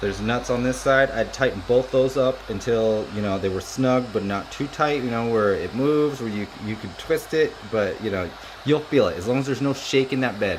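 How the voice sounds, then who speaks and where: A man talks with hardly any pauses over noticeable background noise. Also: medium pitch for a man, ordinary pitch variation. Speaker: 3D printing YouTuber. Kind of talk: casual product review tutorial. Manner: fast; casual, filler-heavy.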